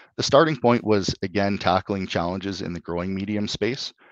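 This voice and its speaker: A man speaks at a moderate pace with a Canadian accent. The sound is dry with no echo, and the background is quiet. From Alberta, Canada. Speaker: clean tech company CEO; guest. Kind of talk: interview. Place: home room. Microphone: video call.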